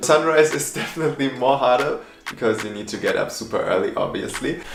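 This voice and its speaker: Over music in the background and with audible room echo, a man with a non-native accent talks at a very fast pace. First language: not English. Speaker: content creator. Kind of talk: tutorial.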